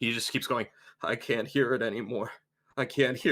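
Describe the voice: The voice is plain reading aloud with fairly even intonation. The background is quiet.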